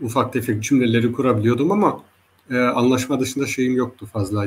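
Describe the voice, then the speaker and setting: His intonation changes only a little. The speaker is a man. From Germany, Hesse/Frankfurt area, Turkish-Zaza family. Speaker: linguist. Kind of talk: interview. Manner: halting, many filler sounds.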